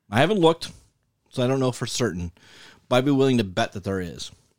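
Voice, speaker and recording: Lively intonation runs through speech in a Western New York accent. The sound is dry and close with no echo, on a very clean recording with a silent background. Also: man. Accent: Western New York (Inland North) American. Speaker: podcast co-host. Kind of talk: casual chat.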